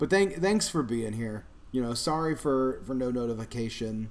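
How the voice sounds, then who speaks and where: There is audible room echo as a man with a medium pitch speaks at a moderate pace. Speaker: food channel host. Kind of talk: casual live stream chat. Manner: mumbling.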